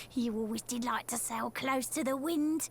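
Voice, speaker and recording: A woman puts on a character voice in a Cockney accent, high-pitched with fairly even intonation and very even loudness. She keeps a moderate pace over clear background noise. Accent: London Cockney. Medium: video game. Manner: chatty, knowing.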